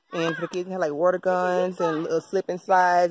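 A woman talks at a moderate pace while a crowd is heard in the background. The sound is dry, with no echo. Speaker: vlogger. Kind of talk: casual vlog chat. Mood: relaxed, upbeat. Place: garden. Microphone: phone near.

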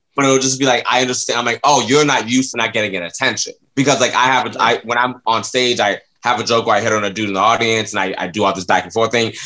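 This voice has a bright, sharp tone and fairly even intonation, talking at a very fast pace over a quiet background. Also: man. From Florida, US South. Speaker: comedian. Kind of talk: casual chat. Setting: studio. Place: home room. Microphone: webcam.

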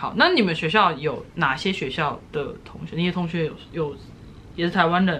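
At a moderate pace and fairly low pitch, a woman speaks with ordinary pitch variation over light background noise. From Taiwan. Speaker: YouTuber. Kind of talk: casual interview. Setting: at home. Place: home room. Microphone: phone near.

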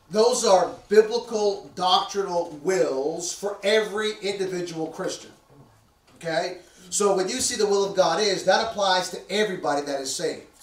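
A man's high voice at a moderate pace, ordinary pitch variation, and audible room echo. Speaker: preacher. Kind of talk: sermon. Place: church.

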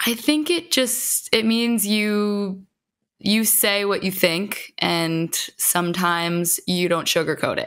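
Speaking very slowly, a woman with an American accent uses lively intonation. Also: quiet background. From New York. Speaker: musician; podcast guest. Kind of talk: casual chat. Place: home room. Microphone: studio mic.

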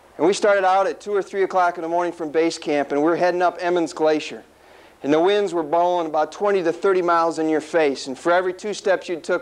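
A man's high-pitched voice, fairly quick and fairly even in intonation. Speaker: speaker. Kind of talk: motivational speech. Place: meeting room. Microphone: lapel.

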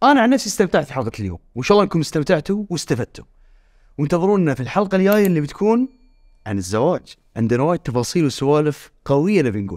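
Very fast and with very wide pitch swings, a man speaks in a fairly high voice over a quiet background. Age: 30s. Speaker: podcast host. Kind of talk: casual chat. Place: studio.

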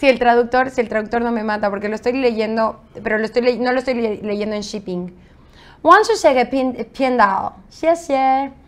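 A woman with a high-pitched voice speaks in an animated tone. Her pace is moderate and her pitch variation ordinary. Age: 30s. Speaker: interview guest, polyglot; interview guest. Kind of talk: casual interview chat. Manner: animated, laughing. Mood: playful, amused. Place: studio. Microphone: studio mic.

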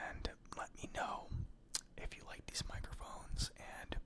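Over loud background noise, a soft-spoken man whispers at a very slow pace. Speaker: ASMR creator. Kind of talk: soft-spoken ASMR mic demo. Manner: soft close-mic ASMR whisper. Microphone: earbuds.

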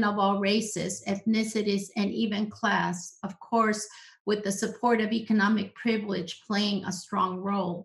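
A somewhat breathy woman at a moderate pace with fairly even intonation, hardly any pauses and a quiet background. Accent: American. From US-Mexican border region. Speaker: social psychologist, professor; professor. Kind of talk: presentation with slides. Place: home room. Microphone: webcam.

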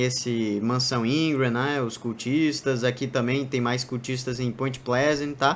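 A man speaks with a Brazilian accent. His pitch is medium and his pace fairly slow. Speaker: gaming YouTuber. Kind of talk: gameplay tutorial commentary. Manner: casual, filler-heavy.

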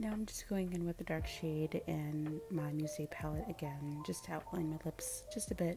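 Over music in the background, a soft-spoken woman talks at a moderate pace with very even loudness. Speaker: beauty vlogger. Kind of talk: makeup tutorial voiceover.

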